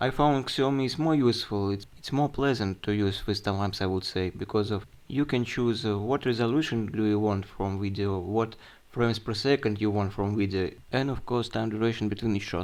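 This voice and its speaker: Against a quiet background, a man with a Russian accent speaks at a fairly low pitch. His pace is fairly quick, with ordinary pitch variation. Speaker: tech reviewer. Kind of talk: product review. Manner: halting.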